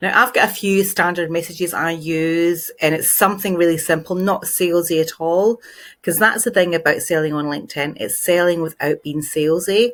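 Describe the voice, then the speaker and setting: Delivered with a Glaswegian accent at a moderate pace, the speech runs on with hardly any pauses. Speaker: LinkedIn marketing trainer. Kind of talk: tutorial. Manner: casual, conversational.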